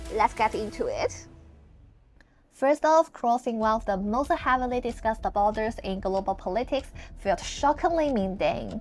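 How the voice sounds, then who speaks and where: Music plays in the background as a woman with a mainland Chinese accent speaks at a fairly high pitch with lively intonation. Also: moderate pace. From mainland China. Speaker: travel vlogger. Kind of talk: travel vlog narration.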